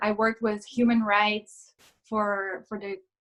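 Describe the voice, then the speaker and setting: This woman talks at a very slow pace with a Portuguese accent. Her pitch sits fairly high. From Brazil, São Paulo state. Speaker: yoga instructor, former lawyer. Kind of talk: casual interview.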